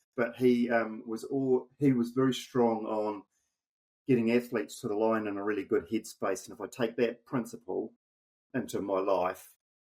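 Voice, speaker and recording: A man speaks with a New Zealand accent at a moderate pace. His pitch is medium and his intonation fairly even. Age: 60s. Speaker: amateur endurance athlete. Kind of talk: podcast interview. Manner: halting.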